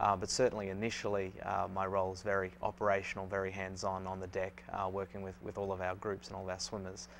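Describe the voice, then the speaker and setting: A man with an Australian accent talks at a very fast pace, with hardly any pauses. His very deep, low voice has fairly even intonation, and the recording is very clean with a silent background. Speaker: swim coach. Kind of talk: interview. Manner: halting, many fillers.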